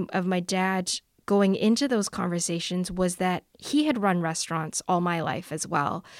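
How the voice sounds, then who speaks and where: A woman's plain, everyday voice at medium pitch and moderate pace, in a Canadian accent, on a very clean recording with a silent background. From Canada, Vancouver. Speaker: journalist and author. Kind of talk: interview.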